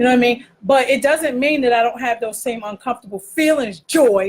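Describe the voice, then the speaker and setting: A woman talks loudly and fairly quickly in a high voice with ordinary pitch variation. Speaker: online talk show co-host. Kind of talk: casual chat.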